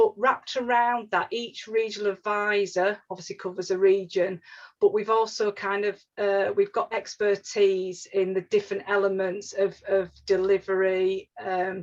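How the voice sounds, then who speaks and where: In a Yorkshire accent, a woman speaks at a moderate pace with hardly any pauses. Her intonation stays monotone and flat. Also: medium pitch for a woman. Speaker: regional housing advisor. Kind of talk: webinar presentation. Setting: online webinar. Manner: halting, many fillers and restarts.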